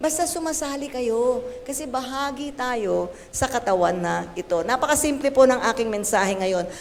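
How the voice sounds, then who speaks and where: A woman talks at a moderate pace in an animated tone with lively intonation. Her voice is high in pitch, and audible room echo surrounds it. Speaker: pastor. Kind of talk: sermon. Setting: church. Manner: tireless, keeps voice for an hour.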